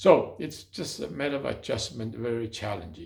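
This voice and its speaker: A man talks at a fairly quick pace, his voice showing vocal fry. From China and Hong Kong. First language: Chinese. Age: 80s+. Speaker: city councilmember, former mayor. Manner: halting.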